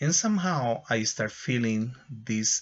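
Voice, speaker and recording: Speaking at a fairly slow pace, a man talks with a Spanish accent. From Ecuador. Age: 60s. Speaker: English teacher. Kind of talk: testimony. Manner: halting.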